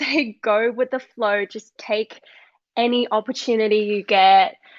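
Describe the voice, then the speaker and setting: A woman's fairly high voice with an Australian accent at a very slow pace, in a dry, close sound with no echo. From Australia, moved from China at eight or nine. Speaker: model and influencer. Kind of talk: podcast interview.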